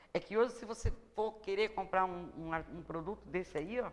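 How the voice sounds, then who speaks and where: With an unremarkable speaking voice, a woman talks at a moderate pace and ordinary pitch variation. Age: 60s. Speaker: small business owner, textile maker. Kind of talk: TV interview.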